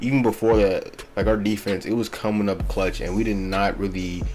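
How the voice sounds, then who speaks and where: Music runs in the background as a man speaks at a moderate pace. His pitch is fairly low. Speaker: NFL YouTuber, Eagles fan. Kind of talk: casual sports commentary vlog. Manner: casual, filler-heavy.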